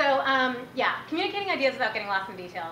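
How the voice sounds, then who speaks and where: In an animated tone, a woman talks at a fairly quick pace and a fairly high pitch, with audible room echo and noticeable background noise. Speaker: startup speaker, marketing executive. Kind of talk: workshop talk. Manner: fast.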